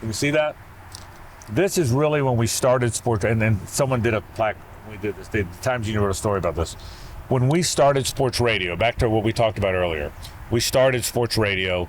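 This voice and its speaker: A plain, everyday voice from a man with an American accent, medium in pitch, fairly quick, and lively in intonation. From Jacksonville, Florida (US South). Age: 60s. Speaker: sports radio host. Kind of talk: casual interview chat. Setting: on location at a baseball complex.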